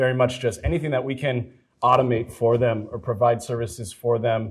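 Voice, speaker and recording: A man speaks in a somewhat breathy voice. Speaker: software engineer, panelist. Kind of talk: panel discussion.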